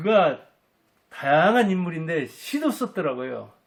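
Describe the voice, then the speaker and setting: With very wide pitch swings, a man delivers his words at a very slow pace. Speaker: life coach and commentator on history. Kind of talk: talk-style lecture to camera.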